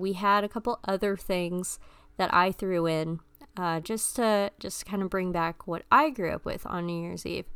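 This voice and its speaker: On a very clean recording with a silent background, a woman with a fairly low pitch talks at a moderate pace in a normal speaking voice. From mixed Filipino-American upbringing. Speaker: podcast host. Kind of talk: casual monologue. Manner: casual with frequent fillers (um, uh).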